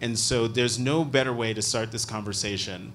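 This man has a normal speaking voice, a medium pitch, and ordinary pitch variation. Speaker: journalist and interviewer. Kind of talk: onstage interview. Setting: stage with audience.

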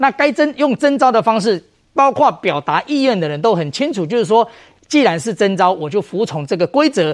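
At a fairly quick pace, a man speaks with very wide pitch swings in a dry, close recording with no echo. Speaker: legislator. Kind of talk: TV political talk show panel.

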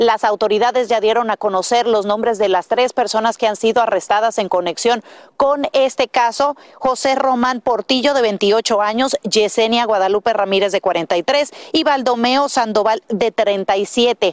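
A woman with a normal speaking voice talks at a fairly slow pace and a fairly high pitch, with ordinary pitch variation, very even loudness and hardly any pauses, in a dry, close sound with no echo. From Dominican Republic. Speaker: TV news reporter. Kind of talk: news report.

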